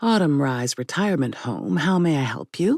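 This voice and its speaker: This is a put-on character voice at a low-to-middle pitch. It moves at a moderate pace. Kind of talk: standard polite greeting.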